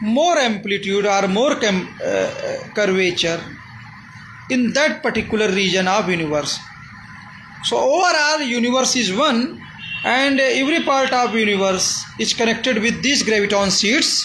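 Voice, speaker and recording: A man's raised, projected voice at an extremely high pitch, in an Indian accent, with lively intonation, a moderate pace and very even loudness, amid noticeable background noise and audible room echo. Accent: non-fluent Indian English. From India, Uttar Pradesh. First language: Hindi. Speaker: amateur physics theorist. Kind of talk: explanatory monologue. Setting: filmed by a camera operator. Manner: halting.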